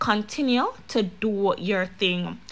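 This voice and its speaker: A woman is speaking. She has a Jamaican accent. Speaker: YouTube commentary vlogger. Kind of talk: casual vlog monologue.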